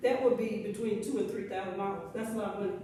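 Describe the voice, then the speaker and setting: Here a woman speaks with a Southern US accent. Background noise is noticeable, and room echo is audible. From Alabama. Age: 70s. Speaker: resident addressing county commission. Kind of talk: public comment. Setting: public meeting.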